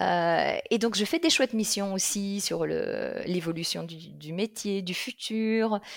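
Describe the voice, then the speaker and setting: A woman with a medium pitch talks at a very slow pace with lively intonation. The sound is dry and close with no echo, on a very clean recording with a silent background. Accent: slight Belgian. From Belgium, Liège region. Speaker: career coach. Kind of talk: interview. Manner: hesitant with fillers.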